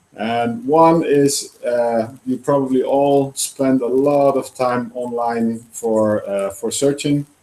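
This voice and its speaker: A dark, mellow voice in a Dutch accent, very slow, with fairly even intonation and hardly any pauses. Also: man, medium pitch for a man. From Netherlands. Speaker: startup founder. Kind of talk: presentation. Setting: live presentation with audience, online broadcast. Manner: halting with many fillers.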